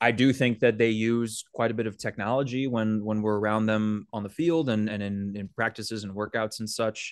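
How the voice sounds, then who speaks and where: A man's plain, everyday voice, fairly low in pitch, with fairly even intonation, a moderate pace, hardly any pauses and a dry, close sound with no echo. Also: quiet background. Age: 20s. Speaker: baseball beat reporter. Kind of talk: casual chat.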